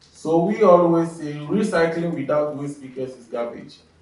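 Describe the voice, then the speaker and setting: Audible room echo follows a man with a fairly high voice as he speaks fairly slowly with ordinary pitch variation. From Ghana. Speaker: waste pickers' representative. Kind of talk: panel presentation.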